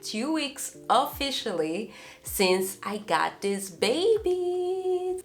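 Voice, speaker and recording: A woman speaking at a very slow pace, with music in the background. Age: 20s. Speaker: lifestyle YouTuber. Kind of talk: casual talk to camera.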